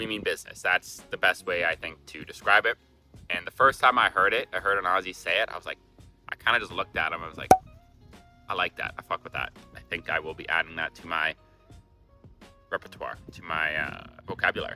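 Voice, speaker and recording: Music plays in the background as a man with a Canadian accent talks in a relaxed tone at a fairly quick pace. His loudness swings widely, and he takes long, frequent pauses. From Canada. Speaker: travel vlogger. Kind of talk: casual talk to camera. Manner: casual, relaxed.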